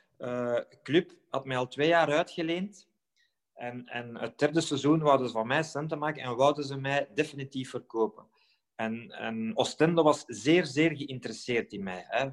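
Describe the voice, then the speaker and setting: A man speaks in a plain, everyday voice, fairly high in pitch. His pace is moderate, with ordinary pitch variation. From Belgium, Flemish Brabant. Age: 40s. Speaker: former professional footballer. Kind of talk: podcast interview.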